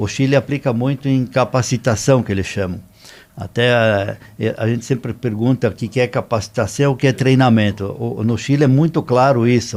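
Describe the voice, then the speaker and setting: An unremarkable speaking voice from a man, medium in pitch, fairly even in intonation and moderate in pace. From southern Brazil, Rio Grande do Sul. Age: 60s. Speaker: business consultant. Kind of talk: podcast interview.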